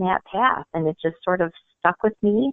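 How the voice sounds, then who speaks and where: A woman speaks in an unremarkable speaking voice. Her pace is moderate and her pitch variation ordinary. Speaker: marketing director. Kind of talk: interview answer.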